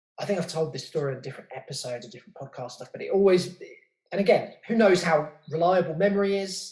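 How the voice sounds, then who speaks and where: With a southern English accent, a man speaks at a high pitch and with lively intonation. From southern England, outskirts of London. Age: 30s. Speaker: podcast host and graffiti writer. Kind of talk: casual interview chat.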